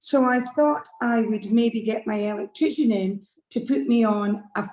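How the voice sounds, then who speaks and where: Speaking very slowly with a Scottish accent, a woman uses a fairly high, somewhat breathy voice with ordinary pitch variation. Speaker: club member asking a question. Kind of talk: casual chat.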